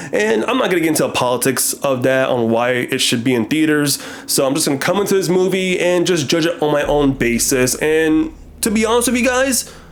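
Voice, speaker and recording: A man talks at a fairly high pitch and a fairly quick pace, with very wide pitch swings and very even loudness. Noticeable background noise is present. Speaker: film reviewer. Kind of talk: movie review. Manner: casual.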